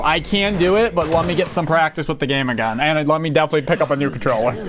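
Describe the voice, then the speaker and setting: A man's voice with lively intonation. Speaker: gaming streamer. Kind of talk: casual gameplay commentary. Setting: live stream. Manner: halting, repeats words.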